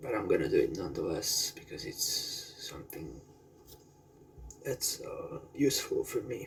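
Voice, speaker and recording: A man with an American accent talks at a moderate pace, his loudness swinging widely, with long, frequent pauses and noticeable background noise. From Central Europe, Slovakia. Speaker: streamer. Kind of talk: casual livestream chat. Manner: halting, many fillers.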